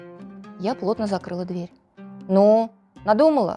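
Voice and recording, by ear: Here the text is read aloud in a natural voice.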